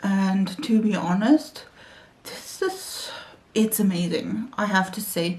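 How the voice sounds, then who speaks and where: Over noticeable background noise, a woman with a German accent speaks at a medium pitch with ordinary pitch variation. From Germany. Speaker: beauty YouTuber. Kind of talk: makeup tutorial chat. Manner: halting.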